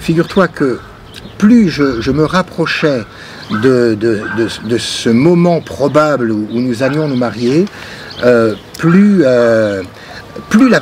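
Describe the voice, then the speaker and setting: A man speaks very slowly with long, frequent pauses at a medium pitch. His intonation is lively, and there is noticeable background noise. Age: 50s. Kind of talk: interview testimony. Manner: halting, many hesitations and repetitions.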